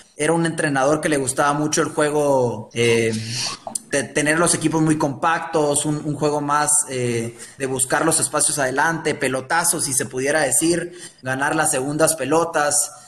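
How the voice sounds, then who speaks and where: A man's fairly high voice at a moderate pace, fairly even intonation, with noticeable background noise and audible room echo. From Guatemala, Guatemala City. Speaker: former youth international footballer. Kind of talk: interview.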